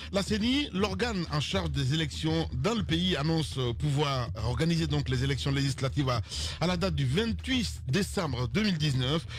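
The speech comes at a fairly slow pace and very even loudness, with a dry sound with no echo and light background noise. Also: man. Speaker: radio show host. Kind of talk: news introduction read on air. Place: studio. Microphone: studio mic.

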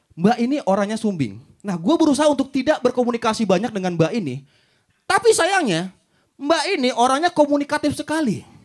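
An animated tone with very wide pitch swings at a fairly quick pace, against a quiet background. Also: man, extremely high pitch for a man. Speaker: stand-up comedian. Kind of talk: stand-up comedy. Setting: stage with audience. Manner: animated, storytelling with mimicked voices and swearing; casual, slangy, punchline-driven. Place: stage. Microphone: handheld.

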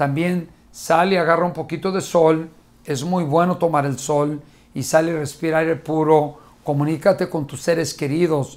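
At a moderate speed, this man's voice comes across as fairly high for a male. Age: 50s. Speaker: motivational speaker. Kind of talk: motivational talk to camera. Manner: animated. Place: studio.

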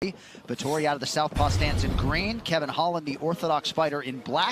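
A man talks at a moderate pace with a fairly high pitch and ordinary pitch variation. Noticeable background noise runs underneath. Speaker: play-by-play commentator. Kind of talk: live fight commentary, calling the action and setting up the matchup. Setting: cageside commentary booth at a live event. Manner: brisk, descriptive play-by-play delivery.

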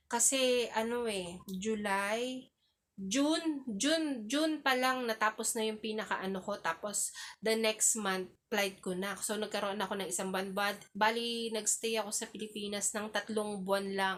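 In an unremarkable speaking voice, a woman talks at a fairly slow pace with a fairly high pitch and ordinary pitch variation. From Philippines. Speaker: YouTuber and domestic helper. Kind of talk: vlog monologue. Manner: polite, frequent fillers.

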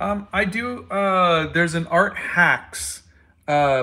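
Bright and sharp in tone, a man's high voice shows ordinary pitch variation in a very clean recording with a silent background. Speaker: artist and comic book creator. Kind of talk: casual chat while drawing on livestream. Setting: live video stream.

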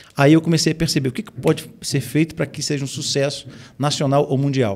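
Against a quiet background, a man talks at a fairly quick pace with a somewhat breathy voice. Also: fairly high pitch for a man, fairly even intonation. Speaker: pastor and music producer; pastor. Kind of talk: casual chat. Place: studio. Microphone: studio mic.

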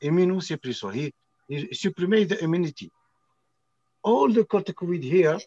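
A man's high-pitched voice with a dark, mellow tone, moderate pace, ordinary pitch variation and long, frequent pauses, in a dry sound with no echo and a quiet background. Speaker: medical doctor. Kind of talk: casual video-call conversation. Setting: video call. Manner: halting. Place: shop. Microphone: phone near.

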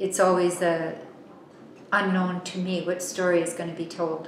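A woman at a fairly low pitch and a moderate pace, with audible room echo and light background noise. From Yukon, Canada. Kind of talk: interview answer. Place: home room.

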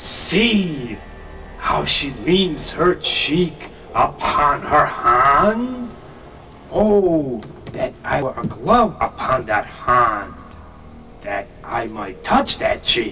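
A man talks at a very slow pace with long, frequent pauses, over clear background noise. His voice is high, with very wide pitch swings. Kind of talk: classical stage verse. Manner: yearning, tender.

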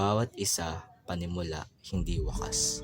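Against music in the background, a man with a very deep, low pitch speaks with lively intonation. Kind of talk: spoken word poetry.

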